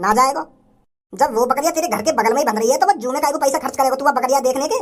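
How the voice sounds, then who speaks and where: A cartoonish, female-sounding character voice, high in pitch and very fast in pace. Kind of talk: comic cartoon dubbing. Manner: blunt, interrogating.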